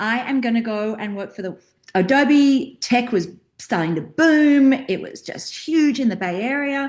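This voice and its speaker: A woman talks with an Australian accent. Her tone is animated and her intonation lively. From Australia, rural outback. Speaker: career and mindset coach. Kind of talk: interview.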